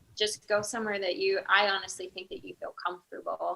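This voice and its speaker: Soft-spoken and at a moderate pace, a woman talks at a medium pitch with fairly even intonation. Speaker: veterinarian. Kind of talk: panel interview answer.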